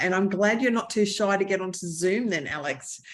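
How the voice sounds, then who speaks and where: A woman's medium-pitched voice with an Australian accent and ordinary pitch variation. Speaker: author and short-term rental entrepreneur. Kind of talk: interview. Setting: video call.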